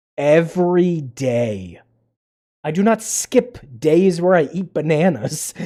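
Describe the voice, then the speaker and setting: A man speaks very slowly at a high pitch. His tone is dark and mellow. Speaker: gaming streamer. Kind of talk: live game stream chat. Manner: quieter than usual; halting.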